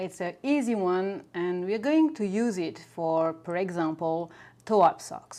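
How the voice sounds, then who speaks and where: At a fairly slow pace, a woman with a French accent speaks at medium pitch in a dark, mellow tone with lively intonation. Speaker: knitting teacher. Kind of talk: knitting tutorial.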